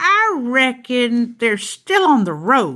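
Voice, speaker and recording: Putting on a character voice, a woman speaks high and at a very slow pace. Her pitch swings very widely. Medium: read story.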